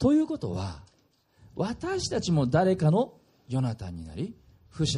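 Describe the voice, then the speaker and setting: Male voice, somewhat breathy and dark, mellow in tone, with very wide pitch swings. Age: 40s. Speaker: pastor. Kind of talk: sermon.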